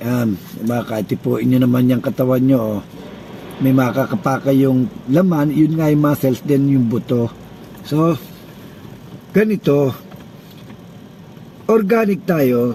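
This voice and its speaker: A man's medium-pitched voice with lively intonation at a fairly slow pace, long, frequent pauses, and noticeable background noise. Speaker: organic health vlogger. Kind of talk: casual talk to camera. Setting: inside a car.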